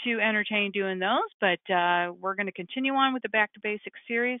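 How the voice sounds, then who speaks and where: In a normal speaking voice, a woman talks at a fairly quick pace with lively intonation. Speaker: software trainer. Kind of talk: webinar tutorial. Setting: webinar screen share.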